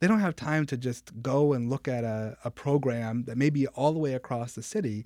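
A man with a normal speaking voice talks at a moderate pace in an American accent, his medium pitch showing ordinary variation on a very clean recording with a silent background. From Rochester, New York. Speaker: state senator. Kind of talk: radio interview on policy. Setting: studio.

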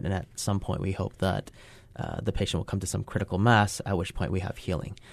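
A man speaks in a very deep, low voice with vocal fry. The background is quiet. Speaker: wound care physician. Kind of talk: radio health interview. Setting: studio.

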